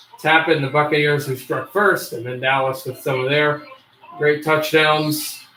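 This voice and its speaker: A man talks at a moderate pace with fairly even intonation and a fairly high pitch. There is noticeable background noise behind him. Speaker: livestream host. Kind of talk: live commentary. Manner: bored, flat.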